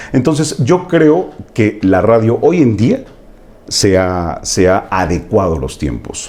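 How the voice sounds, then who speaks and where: A man's fairly low voice at a very slow pace, swinging very widely in pitch, over noticeable background noise. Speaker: radio announcer. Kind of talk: interview answer, casual conversation.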